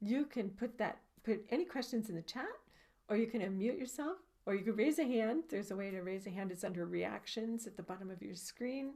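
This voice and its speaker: At a fairly quick pace, a woman speaks with a fairly high pitch and a dark, mellow tone. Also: lively intonation. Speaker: spiritual healing teacher. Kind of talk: group meditation workshop instructions.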